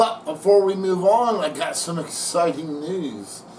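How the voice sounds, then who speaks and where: Noticeable background noise and audible room echo surround a man's voice. He speaks fairly slowly with ordinary pitch variation. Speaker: model train hobbyist YouTuber. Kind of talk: casual video narration.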